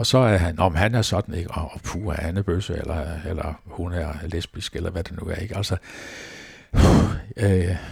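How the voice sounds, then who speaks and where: A man speaks at a fairly slow pace in a very deep, low voice with ordinary pitch variation, over noticeable background noise. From Denmark, Falster. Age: 70s. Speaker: retired pastor. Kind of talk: interview. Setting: at his home. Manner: hesitant, many fillers.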